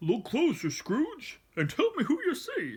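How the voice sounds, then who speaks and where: A put-on character voice delivers high-pitched lines at a fairly slow pace. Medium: read story. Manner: stern, commanding.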